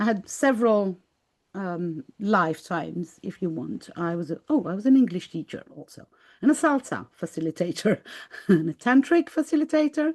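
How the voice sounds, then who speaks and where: In a Greek accent, a woman of medium pitch speaks at a moderate pace with very wide pitch swings and big swings in loudness, the sound dry and close with no echo. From Greece. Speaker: spiritual artist and life coach. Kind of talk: interview. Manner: halting.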